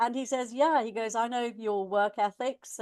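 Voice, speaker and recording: Heard against a quiet background, a woman with an English Midlands accent speaks at a moderate pace in a dry, close recording with no echo. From England, Warwickshire (Leamington). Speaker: education coach, former college manager. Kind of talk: interview. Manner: hesitant, many fillers.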